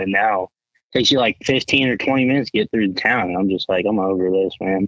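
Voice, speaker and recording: Here is an unremarkable speaking voice in an American accent, moving at a fairly quick pace with fairly even intonation. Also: man. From Colorado. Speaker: hunting photographer and videographer. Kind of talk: casual chat.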